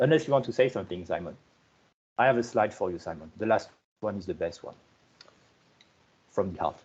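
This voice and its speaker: With a French accent, a man of medium pitch talks at a very fast pace, somewhat breathy, with lively intonation, big swings in loudness and long, frequent pauses. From France. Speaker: software project lead giving conference keynote. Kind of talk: conference keynote presentation. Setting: online conference video call. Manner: halting, many repetitions and fillers.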